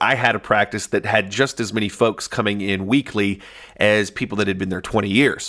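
On a very clean recording with a silent background, a man with a Southern US accent speaks at a moderate pace, his medium pitch carrying a bright, sharp tone. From US South, Northeast Arkansas. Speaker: chiropractor turned marketing agency owner. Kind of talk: audiobook narration, unscripted-sounding.

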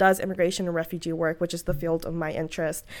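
Very fast and with an American accent, a woman speaks in a very clean recording with a silent background. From US South (Atlanta and New Orleans). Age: 20s. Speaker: public service fellow, immigrant advocate. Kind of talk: interview. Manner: frequent fillers, hesitant.

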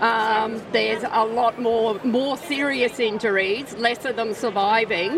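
Noticeable background noise surrounds a woman. Her fairly high voice keeps a fairly even intonation. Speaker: wildlife rescue volunteer.

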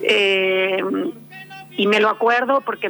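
A woman at medium pitch, with noticeable background noise. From Argentina. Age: 50. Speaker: novelist. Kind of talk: interview. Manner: halting.

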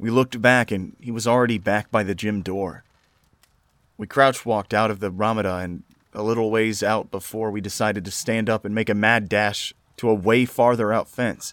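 A man in a normal speaking voice keeps a fairly low pitch, a moderate pace, and fairly even intonation. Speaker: horror story narrator. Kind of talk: scripted horror narration, reading aloud Reddit stories. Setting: solo recording for YouTube audio.

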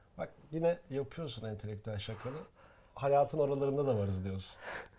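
A man's somewhat breathy voice with a dark, mellow tone, at a fairly quick pace. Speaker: podcast co-host. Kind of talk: casual chat. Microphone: professional recording gear.

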